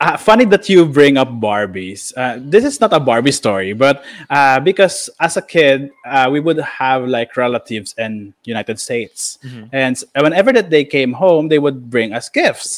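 Using a normal speaking voice, a man with a fairly high pitch talks at a moderate pace with lively intonation. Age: 20s. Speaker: podcast host. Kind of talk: casual chat.

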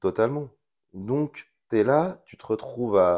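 A man talks at a very slow pace. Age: 30s. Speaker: school teaching assistant and amateur radio host. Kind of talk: interview. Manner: halting, many repetitions and hesitations.

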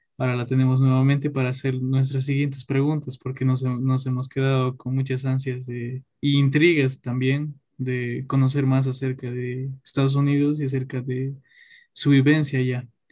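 The tone is dark and mellow, a little breathy. Delivery is flat and monotone at a moderate pace. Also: man, medium pitch for a man. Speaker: podcast host. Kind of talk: casual chat.

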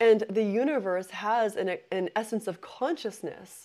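Lively intonation and a fairly high pitch in a woman's voice, a plain, everyday voice. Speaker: intuitive business mentor and podcast host. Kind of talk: live-streamed spiritual talk with chat interaction; guided visualization meditation on the origins of the universe, eyes closed. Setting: live online session on a meditation app.

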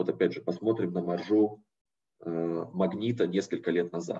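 Here a man speaks at a moderate pace with a very deep, low pitch, a dark, mellow tone and fairly even intonation. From Siberia, Russia (Novosibirsk). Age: 30s. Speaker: private equity investor, guest lecturer. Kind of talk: lecture.

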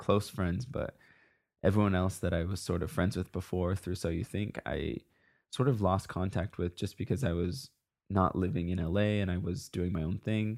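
In a very clean recording with a silent background, a man speaks at a moderate pace with a very deep, low pitch and ordinary pitch variation. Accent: General American. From US Pacific Northwest, Seattle. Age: 20s. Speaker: professional dancer. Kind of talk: casual interview.

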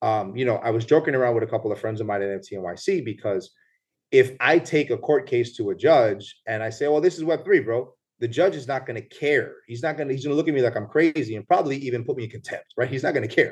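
Speaking at a very fast pace with lively intonation, a man with a medium pitch sounds somewhat breathy against a quiet background. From New York City (Bronx), Puerto Rican family. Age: 30s. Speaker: lawyer and former police officer. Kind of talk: casual interview.

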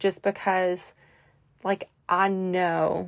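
A woman speaks at a very slow pace in a dry, close sound with no echo. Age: 30s. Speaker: podcast host. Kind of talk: casual solo monologue. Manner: many fillers (um, like).

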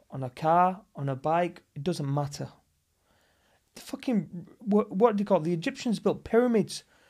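On a very clean recording with a silent background, a man with a northern English accent speaks at a moderate pace in an animated tone, his high pitch making very wide swings. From northern England. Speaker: actor and martial artist. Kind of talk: casual chat.

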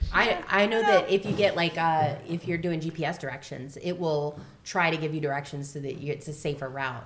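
A woman with an American accent speaks at a moderate pace with hardly any pauses. Her very deep, low voice has ordinary pitch variation over noticeable background noise. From Florida. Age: 40s. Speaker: podcast host, theatre mom. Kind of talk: casual chat.

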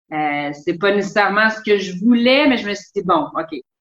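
Her voice is a plain, everyday voice, medium in pitch, with lively intonation and a moderate pace. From Quebec, Longueuil. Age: 30s. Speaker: sailor and traveler. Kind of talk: casual interview.

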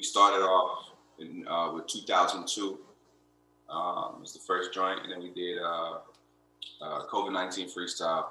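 Long, frequent pauses and big swings in loudness mark a man speaking with an American accent amid audible room echo. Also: fairly slow pace. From Florida (Lakeland). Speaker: rapper. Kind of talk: casual chat.

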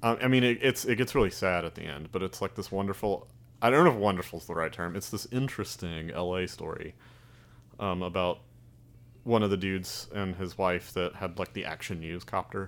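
Very deep and low, a man's voice carries a slight Southern US accent and ordinary pitch variation in a very clean recording with a silent background. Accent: slight Southern drawl. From Alabama. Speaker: filmmaker. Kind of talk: casual chat.

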